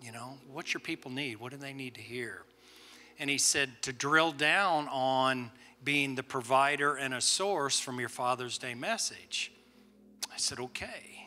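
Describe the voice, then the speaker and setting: With a bright, sharp tone, a man talks at a fairly slow pace. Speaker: guest preacher. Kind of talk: sermon. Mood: warm, reflective. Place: church. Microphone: handheld.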